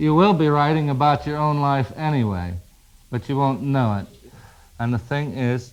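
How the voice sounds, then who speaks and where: With music in the background, a man talks using lively intonation. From Indianapolis, Indiana, US. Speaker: writer. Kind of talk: guest lecture to a class. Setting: classroom recording.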